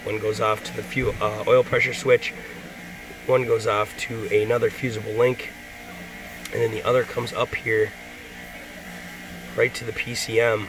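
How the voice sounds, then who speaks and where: A man at a moderate pace, music in the background. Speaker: auto mechanic. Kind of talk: casual talk to camera.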